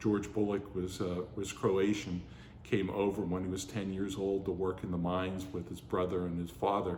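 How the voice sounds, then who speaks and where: A man's very deep, low voice, somewhat breathy and monotone with flat intonation, at a moderate pace with audible room echo. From western Pennsylvania, Pittsburgh area. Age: 60s. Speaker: oral history narrator. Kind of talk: oral history interview. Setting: heritage center museum. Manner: hesitant, many fillers.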